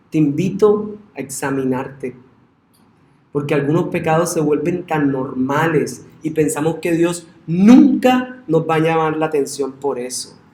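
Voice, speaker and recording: Audible room echo surrounds a man speaking at a fairly slow pace. His voice is fairly high-pitched with a dark, mellow tone and ordinary pitch variation. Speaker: pastor. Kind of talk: sermon.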